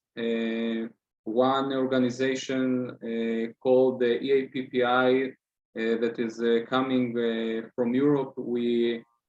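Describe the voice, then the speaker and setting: A man speaks in an Israeli accent at a very slow pace. His intonation stays monotone and flat. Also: medium pitch for a man. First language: Hebrew. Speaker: student activist. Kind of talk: interview. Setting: video call. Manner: halting, many fillers.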